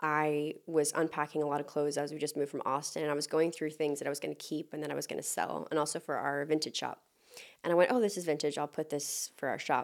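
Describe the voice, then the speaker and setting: With an American accent, a woman speaks. Her pitch is very deep and low. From Texas. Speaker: animal rights activist and former model. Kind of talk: casual chat.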